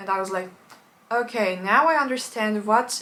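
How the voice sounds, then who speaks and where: Pitched fairly high, a woman talks in an unremarkable speaking voice, her pitch varying in an ordinary way. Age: young. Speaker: polyglot language learner. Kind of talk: casual talk to camera.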